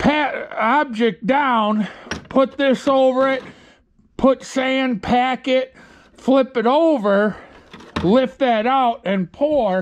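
Over light background noise, a man with an extremely high voice speaks at a very slow pace, leaving long, frequent pauses. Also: ordinary pitch variation. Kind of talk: casual vlog chat. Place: garage. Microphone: phone near.

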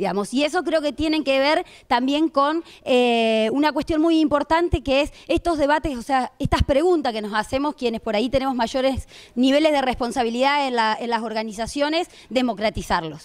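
At a moderate pace, a woman speaks with a high pitch and ordinary pitch variation. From Argentina, Rosario; Argentina. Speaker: political activist; panelist. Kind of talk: panel talk. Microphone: handheld.

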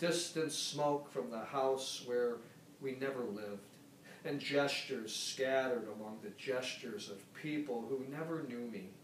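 Amid light background noise and audible room echo, a man speaks at a fairly slow pace with ordinary pitch variation. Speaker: poetry reader. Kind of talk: poetry reading. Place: home room. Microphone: camera far.

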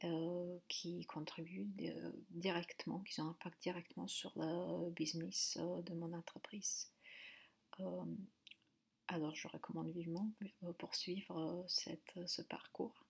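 A woman talks at a very slow pace. She speaks with a Slovak accent. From Slovakia. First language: Slovak (speaking French). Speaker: machine learning engineer. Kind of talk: testimony. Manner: halting. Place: home room. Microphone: webcam.

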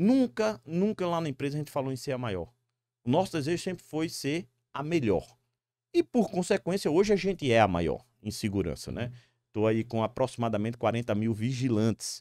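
A man's dark, mellow voice swings very widely in pitch. The sound is dry with no echo, and the background is quiet. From Brazil, Northeast (Natal, Rio Grande do Norte); Rio Grande do Norte, Brazil. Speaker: security company executive; guest. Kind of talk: interview. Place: studio. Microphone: studio mic.

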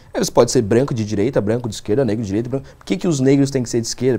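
A man talks in a dark, mellow tone, his pitch varying in an ordinary way. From São Paulo, Brazil (Zona Sul); São Paulo, Brazil. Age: 20s. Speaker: politician. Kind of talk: interview. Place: studio. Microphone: lapel.

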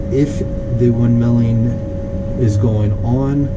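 Loud background noise sits behind a man's speech. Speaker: flight instructor. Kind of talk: tutorial. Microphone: camera far.

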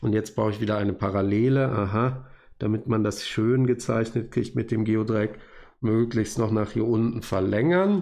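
A man speaks in a plain, everyday voice at medium pitch and a moderate pace. His intonation is fairly even and his loudness very even. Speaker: university lecturer. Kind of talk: tutorial. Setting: recorded video at desk.

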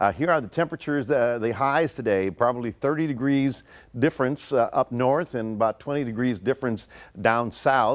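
A man at a fairly quick pace, with ordinary pitch variation

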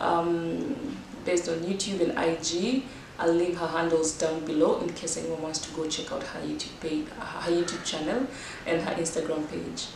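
Audible room echo and noticeable background noise surround a woman speaking with a fairly low pitch. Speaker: fitness vlogger. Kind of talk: casual vlog chat.

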